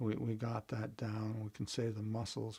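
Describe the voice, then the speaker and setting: A man's medium-pitched, somewhat breathy voice moves at a fairly slow pace. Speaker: meditation teacher. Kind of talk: guided meditation instruction. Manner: casual, hesitant.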